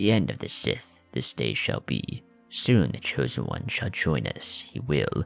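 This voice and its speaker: With faint music in the background, a man uses a put-on character voice that is very deep and low, with very wide pitch swings at a fairly slow pace. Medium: read story. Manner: inverted word order, measured.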